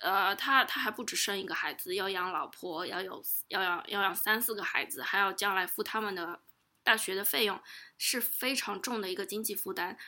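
This bright, sharp-toned voice moves at a moderate pace with ordinary pitch variation, on a very clean recording with a silent background. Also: woman, medium pitch for a woman. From Shanghai, China. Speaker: guest, Chinese expat worker in US. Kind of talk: casual interview chat.

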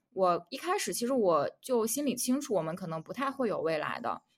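A woman speaks in a plain, everyday voice. Her pace is fairly quick and her intonation lively. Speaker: podcast co-host. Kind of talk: casual chat.

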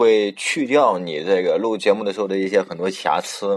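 The speaker keeps a moderate pace. Pitch variation is ordinary. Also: man. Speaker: amateur internet radio host. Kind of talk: casual solo radio talk. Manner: occasional stumbles and filler sounds.

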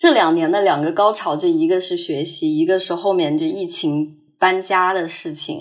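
An ordinary speaking voice moves at a moderate pace with hardly any pauses. The intonation stays fairly even. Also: woman, fairly low pitch for a woman. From Hangzhou, China. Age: 20s. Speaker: student abroad. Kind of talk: personal testimony.

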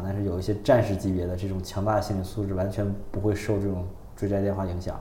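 A man speaks fairly quickly in a flat, monotone way at a fairly low pitch, with audible room echo and noticeable background noise. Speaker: podcast co-host. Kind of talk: casual chat.

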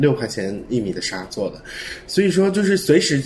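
A man at a moderate pace, very wide pitch swings, and noticeable background noise. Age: young. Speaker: fashion designer. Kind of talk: casual chat.

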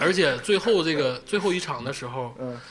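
Amid noticeable background noise, a man speaks at a moderate pace with a fairly high pitch. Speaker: podcast host. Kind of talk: casual chat. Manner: frequent laughter.

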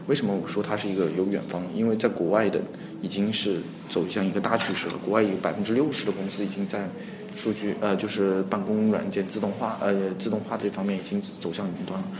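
A man talks at a fairly quick pace with fairly even intonation and a fairly low pitch. Audible room echo and noticeable background noise fill the recording. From Hunan, China. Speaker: startup co-founder. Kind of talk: interview. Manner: halting, many fillers.

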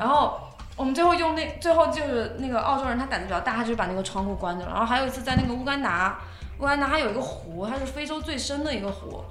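A woman speaks very fast at a high pitch with lively intonation. Audible room echo and noticeable background noise come through. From China. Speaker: world traveler and goods trader. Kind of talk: casual chat.

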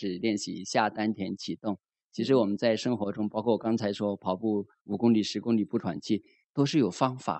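A man talks at a fairly quick pace. He has a plain, everyday voice with a fairly low pitch. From Zhuhai, Guangdong. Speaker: meditation student. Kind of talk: testimony.

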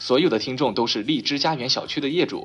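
A man with a fairly high pitch speaks in an animated tone at a fairly quick pace. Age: 20s. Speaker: internet radio talk show host. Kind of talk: comedic monologue.

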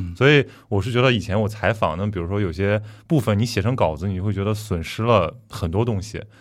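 A man talks fairly quickly at a fairly low pitch. His pitch varies in an ordinary way. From Qingdao, Shandong. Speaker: podcast host. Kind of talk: casual chat. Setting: studio.

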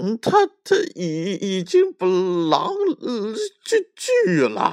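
A man puts on a character voice, pitched high for a man. He speaks slowly, with very wide pitch swings. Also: slightly mellow tone.

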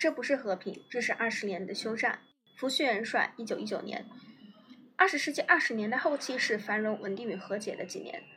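A woman's fairly high, bright, sharp voice at a fairly quick pace. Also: lively intonation. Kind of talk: history documentary narration, read aloud from a script. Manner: formal, measured and steady, lecture-like; serious, even-paced delivery with an authoritative tone.

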